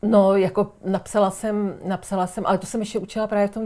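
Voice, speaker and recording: Her voice sits at a medium pitch with a dark, mellow tone, delivered in a flat monotone at a fairly quick pace. The woman is recorded very cleanly against a silent background. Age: 60s. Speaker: writer and former teacher. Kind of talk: casual chat.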